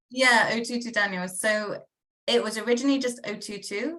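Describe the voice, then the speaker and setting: A woman with a Bristol accent speaks in a bright, sharp tone with ordinary pitch variation. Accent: Bristol accent, noticeable. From England, Bristol. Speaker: minister and guest. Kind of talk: interview.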